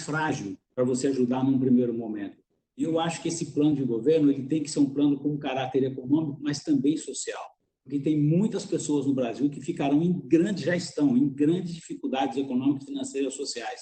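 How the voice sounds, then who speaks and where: This man has a plain, everyday voice, pitched fairly high, and he talks at a fairly quick pace. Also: fairly even intonation. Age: 60s. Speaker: business executive and mentor. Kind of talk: webinar panel answer.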